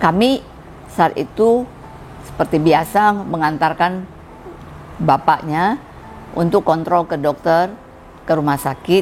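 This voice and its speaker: A woman speaks at a fairly low pitch with ordinary pitch variation and long, frequent pauses. Noticeable background noise is present. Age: 60s. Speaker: church music teacher and trainer. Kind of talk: testimony.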